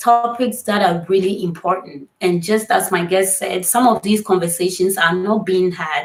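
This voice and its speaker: A somewhat breathy voice at a moderate pace. The pitch varies in an ordinary way. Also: woman. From Ghana. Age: 20s. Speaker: online talk show host. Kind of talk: live stream talk show.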